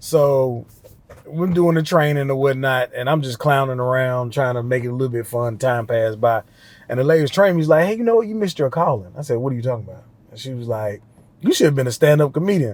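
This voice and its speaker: Very fast speech in a Southern US accent shows ordinary pitch variation and big swings in loudness, in a very clean recording with a silent background. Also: man, medium pitch for a man. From West Tennessee, near Memphis. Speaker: stand-up comedian. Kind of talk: casual interview chat, storytelling.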